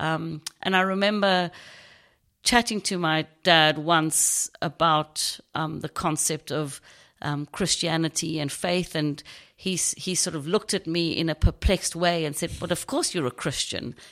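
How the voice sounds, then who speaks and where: A woman's fairly even intonation in a strong South African accent. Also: fairly low pitch for a woman, fairly slow pace, very clean recording, silent background. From South Africa, Knysna, Garden Route. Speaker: churchgoer sharing faith story. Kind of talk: testimony.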